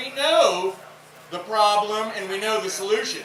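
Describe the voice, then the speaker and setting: With a Tennessee accent, a man raises and projects his high-pitched voice at a fairly slow pace. Noticeable background noise is present. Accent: Southern US (Tennessee). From Memphis, Tennessee. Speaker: environmental conservation coordinator. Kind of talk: rally speech. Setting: outdoors. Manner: low-key.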